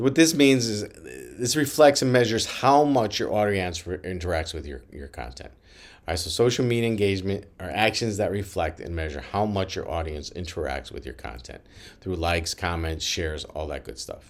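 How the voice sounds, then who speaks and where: A fairly low-pitched man at a moderate pace, with vocal fry, very wide pitch swings and audible room echo. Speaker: lecturer on branding for student athletes. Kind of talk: lecture. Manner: halting, with repeated words and fillers.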